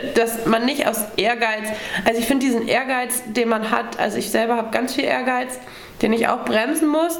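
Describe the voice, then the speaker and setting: A woman talks at a moderate pace with a fairly high pitch, fairly even intonation and very even loudness. Audible room echo and noticeable background noise are present. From Schleswig-Holstein, northern Germany (Wedel). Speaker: riding instructor and stable owner. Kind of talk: interview. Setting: on location at a riding clinic. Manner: hesitant, many fillers.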